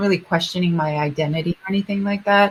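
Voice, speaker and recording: Here is a woman's voice. It sounds somewhat breathy, with fairly even intonation. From Japan. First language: Japanese. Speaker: singer. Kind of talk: interview. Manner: halting.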